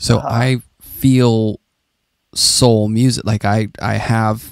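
This man has an unremarkable speaking voice with a fairly low pitch. The sound is dry and close, with no echo. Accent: American. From Pittsburgh, Pennsylvania. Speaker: podcast host and art teacher. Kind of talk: casual interview conversation.

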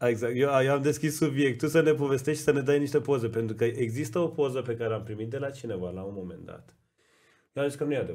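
A man's fairly high-pitched voice at a very fast pace, with ordinary pitch variation and big swings in loudness. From Iran (Tabriz); Iran. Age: 30s. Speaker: podcast co-host, design school co-founder; podcast host. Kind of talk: casual chat. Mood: warm, appreciative. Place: studio. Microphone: studio mic.

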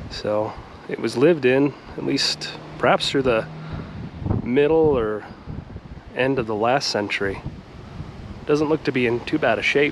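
Noticeable background noise runs under a man talking at a moderate pace with long, frequent pauses. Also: ordinary pitch variation, dry sound with no echo. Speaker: travel vlogger. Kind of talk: casual vlog commentary. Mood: curious, relaxed. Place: street. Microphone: phone near.

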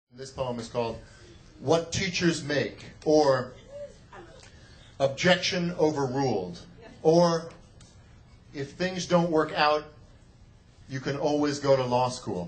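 Over noticeable background noise, a man with a fairly high voice speaks at a very slow pace with long, frequent pauses, ordinary pitch variation and big swings in loudness. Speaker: slam poet and teacher. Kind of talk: live slam poetry performance. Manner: emphatic, rhythmic.

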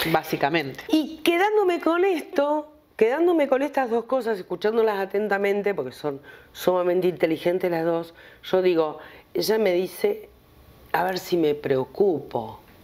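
Speaking at a moderate pace, a woman uses very wide pitch swings. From Argentina, Buenos Aires area; Argentina. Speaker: TV show host. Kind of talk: casual chat; talk show conversation. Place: studio.

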